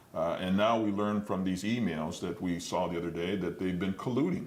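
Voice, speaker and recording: With an American accent and a plain, everyday voice, a man talks at a moderate pace in a fairly low pitch with ordinary pitch variation. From Detroit, Michigan. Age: 60s. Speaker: mayoral candidate. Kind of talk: interview.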